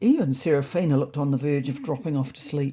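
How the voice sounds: A woman speaks at a fairly quick pace in a low pitch, with ordinary pitch variation, a slightly husky edge and a dark, mellow tone.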